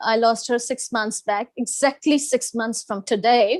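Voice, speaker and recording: A woman with a Gujarati accent speaks at a fairly high pitch with ordinary pitch variation. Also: dry, close sound with no echo. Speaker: restaurant owner and English teacher trainer. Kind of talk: self-introduction in online meeting.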